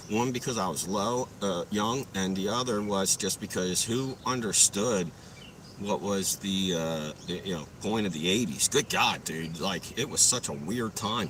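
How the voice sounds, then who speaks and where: A man's fairly low voice at a fairly slow pace, with ordinary pitch variation and noticeable background noise. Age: 40s. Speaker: live streamer. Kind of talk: casual live stream chat. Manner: casual, profane.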